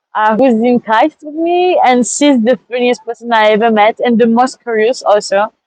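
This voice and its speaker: A woman with a French accent speaks at a moderate pace in a fairly high voice with ordinary pitch variation, the sound dry and close with no echo. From France. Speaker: master's student. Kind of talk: interview. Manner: halting.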